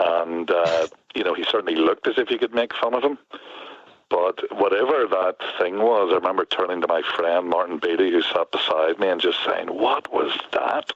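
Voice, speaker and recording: A man talks over noticeable background noise. His loudness stays very even throughout. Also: moderate pace. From Northern Ireland, near Belfast. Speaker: poet. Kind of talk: interview. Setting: front porch, remote call.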